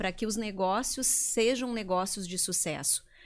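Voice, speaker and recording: A woman's unremarkable speaking voice at medium pitch, fairly slow pace and ordinary pitch variation, on a very clean recording with a silent background. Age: 40s. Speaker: leadership consultant. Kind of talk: interview. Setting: studio.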